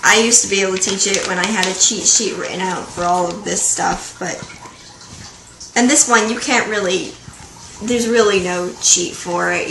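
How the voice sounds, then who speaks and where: Someone mumbles against noticeable background noise. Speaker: vlogger. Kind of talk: casual tutorial vlog. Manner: mumbling.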